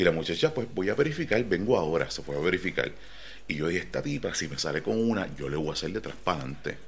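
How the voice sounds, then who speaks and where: Vocal fry runs through this man's voice as he moves at a fairly quick clip. His pitch swings very widely up and down. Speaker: podcast host. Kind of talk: casual chat. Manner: animated.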